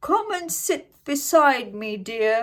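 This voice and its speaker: A put-on character voice, female-sounding, high-pitched and growling. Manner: growling, sweetly menacing.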